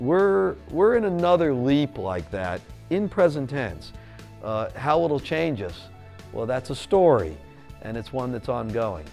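Faint music plays behind a man who speaks at a fairly slow pace. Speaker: visiting journalist. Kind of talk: interview answer. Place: studio. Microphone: lapel.

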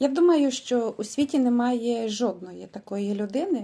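A woman speaks slowly-ish in a fairly high pitch, her tone dark and mellow, somewhat breathy, with ordinary pitch variation. The recording is very clean, with a silent background. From Ukraine, Vinnytsia region, rural village. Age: 50s. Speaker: vlogger. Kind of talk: motivational sales pitch.

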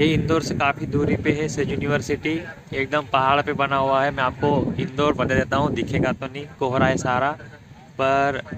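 A man speaking at a fairly slow pace, dry sound with no echo, over loud background noise. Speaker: vlogger. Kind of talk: casual vlog chat. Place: open country. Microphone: phone near.

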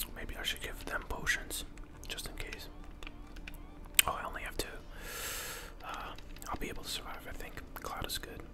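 Delivered at a moderate pace with long, frequent pauses, the speech sits over noticeable background noise. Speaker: ASMR gaming creator. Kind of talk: whispered gameplay commentary.

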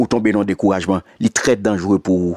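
A man's voice, dry and close with no echo. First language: Haitian Creole (speaking French). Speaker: pastor. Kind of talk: sermon. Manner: animated.

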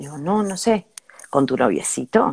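A woman speaks with a fairly low pitch at a moderate pace. Her intonation is lively. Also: quiet background. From Argentina. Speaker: podcast co-host. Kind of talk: casual chat. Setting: live stream. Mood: playful, joking. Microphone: earbuds.

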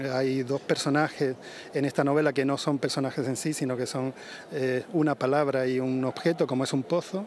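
A man talks in a normal speaking voice, medium in pitch, with fairly even intonation. The sound is dry with no echo, and light background noise is present. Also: moderate pace. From Andalusia, San Fernando (Cádiz). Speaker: novelist. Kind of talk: interview. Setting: outdoors. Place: street. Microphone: handheld.

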